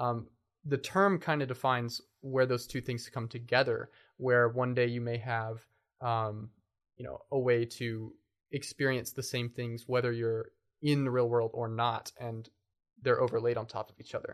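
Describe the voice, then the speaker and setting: A man with an American accent and an ordinary speaking voice, medium-pitched, at a moderate pace, with fairly even intonation and big swings in loudness. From Kentucky, US (Lexington and Bowling Green). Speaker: software developer. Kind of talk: interview.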